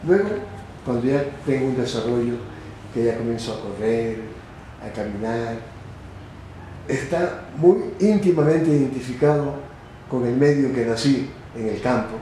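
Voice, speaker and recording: A man talks with long, frequent pauses. Noticeable background noise and audible room echo fill the recording. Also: medium pitch for a man, ordinary pitch variation, fairly slow pace. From Ecuador, Manabí coast (Chone). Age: 80s+. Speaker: retired general. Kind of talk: interview.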